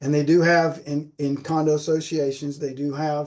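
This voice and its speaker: A man speaks at fairly high pitch with monotone, flat intonation. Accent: South Carolina. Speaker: flooring industry presenter on sound control. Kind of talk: lecture. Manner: repetitive, stammering on words.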